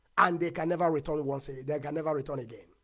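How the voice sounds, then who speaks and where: There is a quiet background behind this man's voice. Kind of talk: political livestream speech. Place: home room. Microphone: lapel.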